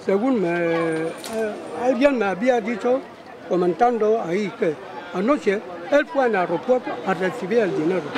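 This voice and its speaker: A man with a high pitch talks at a fairly slow pace with lively intonation and long, frequent pauses, the sound dry with no echo and noticeable background noise behind him. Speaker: interviewed local resident. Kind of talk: interview answer. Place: street.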